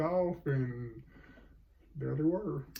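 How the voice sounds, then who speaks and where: A man with a fairly high pitch, somewhat breathy, at a very slow pace. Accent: Southern US. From US South, North Carolina. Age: 60s. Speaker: grandfather. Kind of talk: casual interview. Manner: halting.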